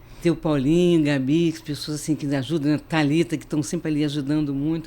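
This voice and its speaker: A woman speaks very fast with hardly any pauses, in a very deep, low voice with a dark, mellow tone. Her intonation stays flat and monotone. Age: 70s. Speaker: retired teacher. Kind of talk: interview testimony.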